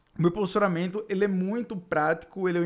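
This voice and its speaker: Energetic in tone, a man with a northeastern Brazilian accent speaks at a fairly quick pace and a high pitch. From Northeast Brazil. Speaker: podcast host, digital marketing coach. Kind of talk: solo podcast monologue. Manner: casual, energetic.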